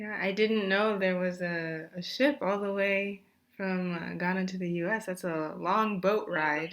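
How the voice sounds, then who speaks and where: With an American accent, a woman speaks in a plain, everyday voice at a fairly slow pace with fairly even intonation. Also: medium pitch for a woman. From Japan and the United States. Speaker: student podcast interviewer. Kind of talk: interview questions.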